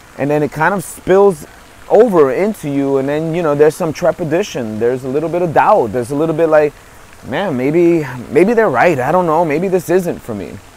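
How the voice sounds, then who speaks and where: With lively intonation and a fairly quick pace, a man speaks in a fairly high pitch against noticeable background noise. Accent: New York. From New York. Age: 50s. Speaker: motivational speaker and author. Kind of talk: motivational monologue. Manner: hesitant, many fillers and repetitions.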